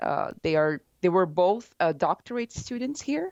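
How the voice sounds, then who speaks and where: A woman with a Portuguese accent speaks at a fairly slow pace in a medium pitch, her intonation lively. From Brazil. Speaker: postdoctoral researcher. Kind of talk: interview. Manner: halting.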